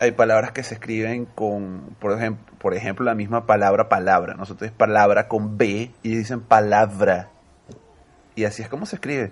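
This is an unremarkable speaking voice, moving at a moderate pace with fairly even intonation. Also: man. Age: 30s. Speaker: Venezuelan emigrant. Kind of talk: casual chat.

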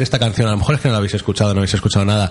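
A man speaks in a somewhat breathy voice. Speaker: radio host. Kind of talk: casual chat. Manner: fast.

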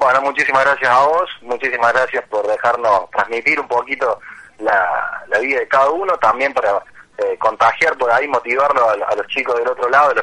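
A man talks fairly quickly, his pitch fairly high and varying in an ordinary way. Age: 30s. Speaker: adult student and car salesman. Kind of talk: radio interview. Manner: lively.

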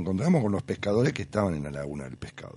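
Very wide pitch swings in a man's voice set fairly low. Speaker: radio host. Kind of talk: radio interview.

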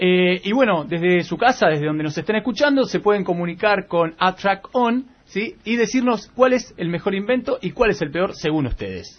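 At a moderate pace and with hardly any pauses, a man talks in a high pitch with lively intonation. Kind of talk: casual chat.

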